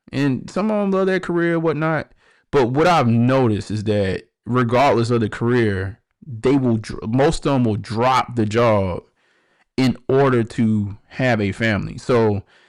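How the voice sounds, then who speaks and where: A man with an American accent speaks at a medium pitch. His pace is moderate and his intonation lively. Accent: Baltimore accent morphed with Southern. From Baltimore, US. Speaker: podcast host. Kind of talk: livestream commentary. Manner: casual, filler-heavy.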